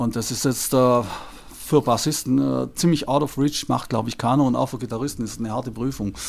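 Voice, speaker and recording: A man with an ordinary speaking voice talks at a moderate pace and a medium pitch. His intonation is fairly even, with hardly any pauses. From southern Germany, Lake Constance. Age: 60s. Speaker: music transcriber. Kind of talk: interview.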